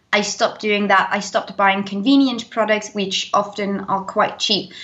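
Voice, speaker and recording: A woman at a medium pitch talks with fairly even intonation, moving at a moderate pace. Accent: British. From Denmark. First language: Danish. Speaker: zero waste YouTuber. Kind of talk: interview. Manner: talkative, long answers.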